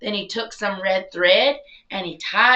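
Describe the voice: With ordinary pitch variation, the passage is read aloud plainly.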